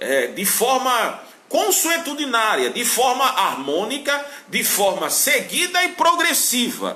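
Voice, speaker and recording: Amid noticeable background noise and audible room echo, a man with a raised, projected voice speaks at an extremely high pitch and a very slow pace, with lively intonation. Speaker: Bible teacher. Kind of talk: lecture.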